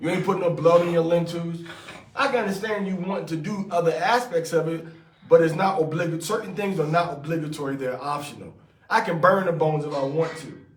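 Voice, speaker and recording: A man with a high pitch and ordinary pitch variation talks at a very fast pace, with noticeable background noise and audible room echo. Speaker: religious teacher. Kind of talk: scripture study with commentary. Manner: casual, conversational.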